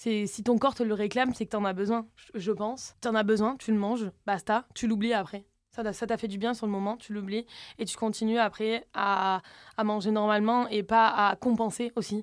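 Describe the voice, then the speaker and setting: A woman's fairly high, monotone voice with flat intonation at a moderate pace, in a very clean recording with a silent background. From southern France. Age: 20s. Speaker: social media content creator. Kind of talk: casual chat.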